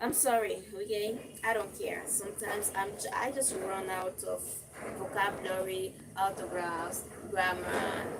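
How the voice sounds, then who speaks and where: With a non-native accent, a woman with a medium-pitched voice speaks at a fairly slow pace with ordinary pitch variation, over noticeable background noise and audible room echo. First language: not English. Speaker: lifestyle content creator. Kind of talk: casual live stream with reading aloud. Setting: live stream.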